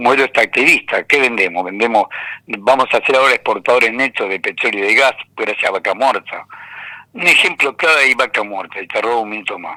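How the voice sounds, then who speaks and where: A man with an Argentine accent at a fairly quick pace, in a dry, close sound with no echo. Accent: Argentine Spanish (Rioplatense). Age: 70s. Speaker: economist and university lecturer. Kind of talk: radio interview. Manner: animated.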